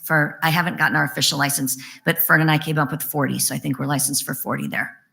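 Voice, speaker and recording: With a bright, sharp tone, vocal fry and a very deep, low pitch, a woman talks at a very fast pace. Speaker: early learning center director. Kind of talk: question and answer session.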